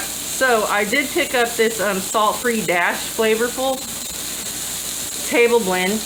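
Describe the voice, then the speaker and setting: Audible room echo and noticeable background noise fill the recording. The voice moves at a moderate pace with ordinary pitch variation. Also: woman. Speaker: home cooking youtuber. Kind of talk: cooking tutorial. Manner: loud; casual.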